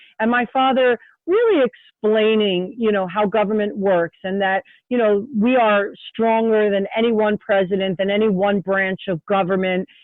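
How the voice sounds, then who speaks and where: A woman with a normal speaking voice talks at a moderate pace and medium pitch, her loudness very even and her intonation fairly even. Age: 60s. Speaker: state representative. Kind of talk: interview. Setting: podcast.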